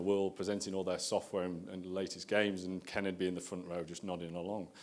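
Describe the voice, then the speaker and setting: Speaking at a very fast pace, a man with a northern English accent has a very deep, low pitch and fairly even intonation. Room echo is audible. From northern England. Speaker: marketing executive. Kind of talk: conference talk. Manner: casual and conversational.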